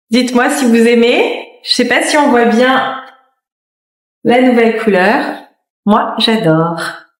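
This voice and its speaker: In a room with audible echo, a woman with a high pitch speaks very slowly at a very even loudness, with long, frequent pauses. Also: ordinary pitch variation. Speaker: fashion vlogger. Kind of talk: casual vlog. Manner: hesitant, many fillers; soft-spoken.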